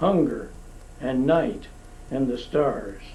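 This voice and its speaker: A man is speaking. His pace is fairly slow. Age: 80s+. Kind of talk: poetry reading.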